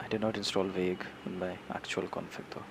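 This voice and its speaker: With an Indian accent, a man speaks at a very deep, low pitch and a moderate pace. His pitch varies in an ordinary way over noticeable background noise. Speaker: software developer streamer. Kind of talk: live coding tutorial. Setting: live stream. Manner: halting, many repetitions.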